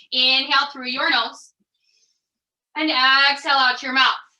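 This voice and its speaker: Raising and projecting her voice, a woman speaks at a fairly slow pace with a high pitch and a bright, sharp tone. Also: long, frequent pauses. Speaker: yoga instructor. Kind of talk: guided fitness class.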